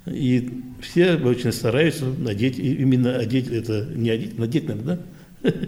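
With ordinary pitch movement and a medium pitch, a man speaks in a somewhat breathy voice. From Central Asia, then Primorye. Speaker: veterans' council chairman, Korean diaspora elder. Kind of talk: interview. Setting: Korean cultural centre.

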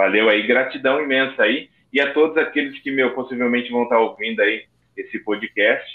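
The speaker uses an ordinary speaking voice at a moderate pace with ordinary pitch variation. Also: man, medium pitch for a man. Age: 30s. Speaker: podcast co-host, recovering addict. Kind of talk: casual podcast chat.

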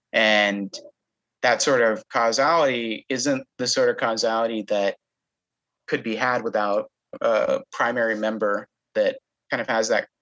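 Speaking at a fairly slow pace with long, frequent pauses, a man comes across in a dry, close sound with no echo. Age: 20s. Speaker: law student. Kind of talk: casual interview.

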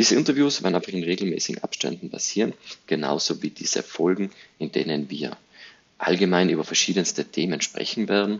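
A man with a very deep, low pitch speaks at a fairly quick pace. His intonation is lively. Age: 30s. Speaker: podcast host, digital agency owner. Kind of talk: solo podcast introduction monologue.

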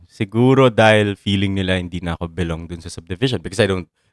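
In a very clean recording with a silent background and a dry, close sound with no echo, a man speaks at a fairly low pitch. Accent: Filipino. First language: Filipino. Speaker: podcast co-host. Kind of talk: casual chat. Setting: sharing one mic at home.

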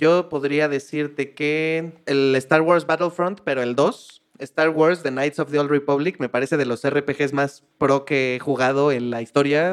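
An unremarkable speaking voice from a man at a fairly high pitch, with fairly even intonation, a fairly slow pace and hardly any pauses. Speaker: podcast co-host. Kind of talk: casual chat.

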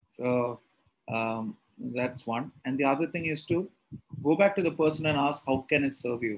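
In a Tamil accent, a man talks at a moderate pace with a fairly high pitch and ordinary pitch variation. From India, Kerala. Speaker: spiritual teacher leading scripture class. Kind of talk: lecture. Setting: video call.

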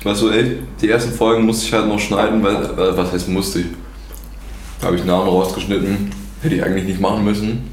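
Over noticeable background noise and audible room echo, a man with a fairly low pitch speaks very fast with very even loudness, ordinary pitch variation and long, frequent pauses. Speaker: podcast host. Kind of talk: casual chat. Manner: stuttering.

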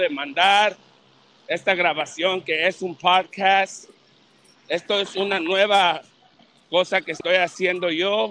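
A man speaks very slowly in a raised, projected voice with a high pitch and ordinary pitch variation. His tone is bright and sharp, and the sound is dry and close with no echo. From Los Angeles, California. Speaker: boxing channel host. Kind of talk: casual chat.

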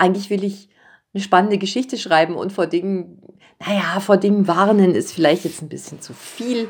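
Using a plain, everyday voice, a woman talks fairly quickly at medium pitch with fairly even intonation and big swings in loudness. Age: 50s. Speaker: children's and young adult author. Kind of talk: casual interview.

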